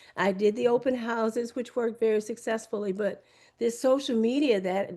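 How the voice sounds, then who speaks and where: A woman with a fairly high pitch uses an ordinary speaking voice with ordinary pitch variation. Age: 60s. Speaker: real estate agent and attorney. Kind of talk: interview.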